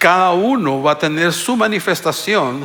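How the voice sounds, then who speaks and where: Over noticeable background noise, a man with a high pitch speaks at a fairly slow pace. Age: 60s. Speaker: pastor. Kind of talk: sermon. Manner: halting.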